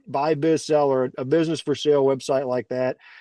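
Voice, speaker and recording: With an unremarkable speaking voice, a man speaks at a fairly quick pace and a fairly high pitch, keeping his intonation fairly even. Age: 40s. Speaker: sailing instructor and sailing school owner. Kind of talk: interview storytelling. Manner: casual, with false starts.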